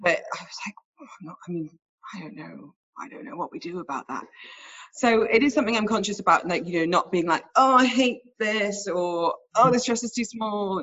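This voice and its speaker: In a normal speaking voice, a woman talks at a moderate pace and fairly high pitch, with lively intonation and big swings in loudness. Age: 30s. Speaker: radio host. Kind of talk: casual chat.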